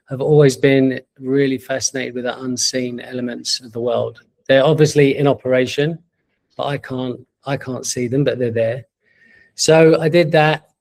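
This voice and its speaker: With a London accent, a man speaks at a medium pitch and moderate pace, his intonation monotone and flat but with big swings in loudness. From East London, England. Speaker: entrepreneur. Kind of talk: interview. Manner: halting.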